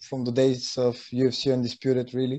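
The man's voice has a dark, mellow tone. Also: quiet background. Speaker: interview guest. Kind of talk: interview answer. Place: home room. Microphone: video call.

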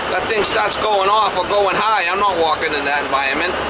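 Over loud background noise, a man talks fairly quickly with ordinary pitch variation. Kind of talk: casual vlog chat. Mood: annoyed, skeptical. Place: car. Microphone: camera far.

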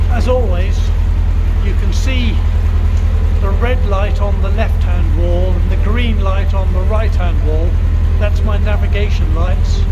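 A man speaking at a fairly slow pace, with long, frequent pauses over loud background noise. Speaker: boater vlogger. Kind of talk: casual vlog chat. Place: boat. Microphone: phone near.

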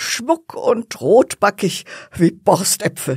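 A very clean recording has a silent background. The speaker talks at a very slow pace. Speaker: storyteller reading a fairy tale. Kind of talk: bedtime story narration, calm and cozy, with gentle character voices. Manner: soft, slow, warm storytelling pace; playful, animated character voices (old woman, cheeky servant).

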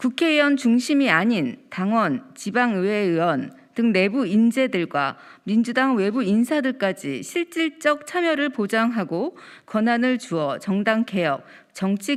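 Speaking at a fairly slow pace, a woman uses a fairly high pitch with very wide pitch swings on a very clean recording with a silent background. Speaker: first-term lawmaker. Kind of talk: press statement reading. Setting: press conference room. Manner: formal.

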